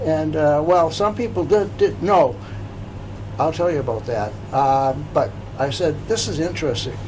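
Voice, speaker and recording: A man's fairly high voice with an American accent, moderate pace, long and frequent pauses, very wide pitch swings, audible room echo and noticeable background noise. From Massachusetts, US. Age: 80s+. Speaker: local historical society president and author. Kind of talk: interview. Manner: halting.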